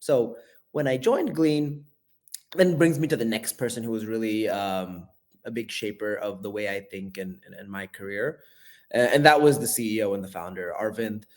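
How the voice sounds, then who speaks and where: A man with an American accent, medium pitch, lively intonation, big swings in loudness and a moderate pace. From US Bay Area and India. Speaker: venture capital investor. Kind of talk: interview conversation.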